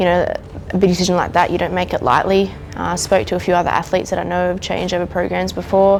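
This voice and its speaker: Music plays in the background as a woman talks very fast with an Australian accent. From Australia, New South Wales. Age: 20s. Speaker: athlete. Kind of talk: interview.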